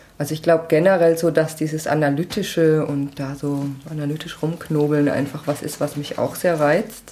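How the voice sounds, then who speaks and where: Her voice is very deep and low, with a dark, mellow tone. This woman speaks at a moderate pace with monotone, flat intonation. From Lower Franconia, Germany (Schweinfurt). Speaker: author and software developer. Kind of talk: casual interview. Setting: home kitchen.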